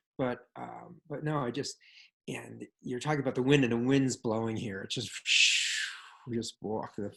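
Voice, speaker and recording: A man talks at a moderate pace in a medium-pitched voice. His intonation stays fairly even. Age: 60s. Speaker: meditation group participant. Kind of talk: casual sharing in group. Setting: video call. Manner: halting.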